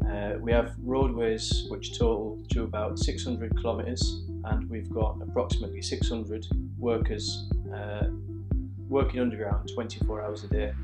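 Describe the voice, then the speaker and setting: With clear music behind him, a man talks at a moderate speed. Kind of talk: interview answer. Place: workshop.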